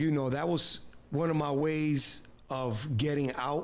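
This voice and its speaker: Audible room echo surrounds the speaker. He is a man with a fairly high pitch. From New York City, Bronx. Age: 50s. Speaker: former prisoner. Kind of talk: interview.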